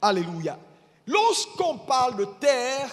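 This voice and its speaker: Speaking at a very slow pace, a man talks in an extremely high pitch. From Ivory Coast. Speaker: bishop preaching. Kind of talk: sermon. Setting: church. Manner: deliberately slow.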